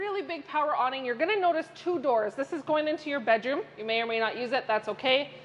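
Over light background noise, a woman talks at a very fast pace with lively intonation. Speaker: RV salesperson. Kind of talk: product walkthrough. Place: hall.

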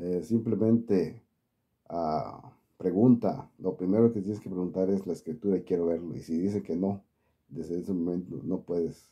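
Speaking with a Mexican accent over a quiet background, a man uses a very deep, low pitch and a dark, mellow tone, with ordinary pitch variation at a moderate pace. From Mexico. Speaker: YouTuber, political commentary channel. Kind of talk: casual vlog monologue. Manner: halting. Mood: warm, advising, friendly. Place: home room. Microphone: phone near.

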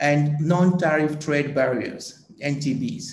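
Speaking very slowly, a man is heard with audible room echo around him. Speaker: agricultural policy economist. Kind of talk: panel discussion. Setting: video call. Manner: hesitant, many filler sounds. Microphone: video call.

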